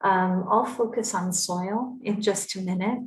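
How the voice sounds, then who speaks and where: A woman's somewhat breathy, medium-pitched voice with a North American accent, monotone and flat in intonation, with audible room echo. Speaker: climate policy expert. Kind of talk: conference presentation.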